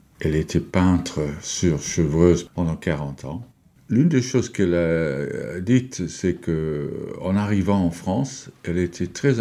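Speaking very slowly with an English accent, this voice has a dark, mellow tone and lively intonation, in a very clean recording with a silent background. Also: man. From England. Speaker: translator. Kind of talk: radio interview. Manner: emotional.

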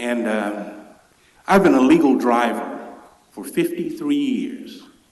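A man with an American accent talks at a very slow pace. His loudness swings widely, and the room echo is audible. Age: 60s. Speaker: public commenter. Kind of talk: public comment at council meeting. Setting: council chamber.

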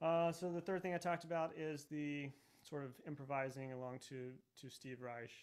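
A man with a fairly high pitch and an American accent has an ordinary speaking voice. His intonation is fairly even against a quiet background. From Texas. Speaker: orchestral percussionist; percussion teacher. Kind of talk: masterclass lecture. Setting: video call webinar. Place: studio.

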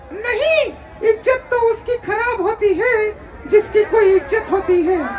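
Using a cartoonish character voice, a man speaks at a fairly slow pace over clear background noise. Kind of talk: ventriloquist comic act. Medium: puppet show. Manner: cheeky, wisecracking.

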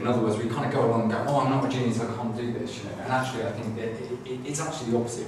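A man talks at a medium pitch. The room echo can be heard.

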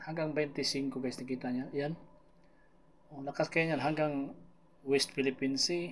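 Here a man talks in a fairly high pitch with monotone, flat intonation. Long, frequent pauses break up his speech. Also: fairly slow pace. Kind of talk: weather report. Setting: screen-share video with voiceover. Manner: casual, conversational Taglish weather explainer, talks viewers through the map.

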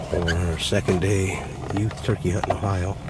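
Loud background noise surrounds this man's voice. The sound is dry, with no echo. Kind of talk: casual hunting vlog commentary. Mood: playful, teasing. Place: tent. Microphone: phone near.

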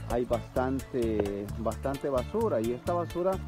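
A man's voice with very wide pitch swings, a dry sound with no echo, and clear music in the background. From El Salvador. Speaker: TV host and professional announcer. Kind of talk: outdoor field report narration. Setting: outdoors. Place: waterside. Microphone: phone near.

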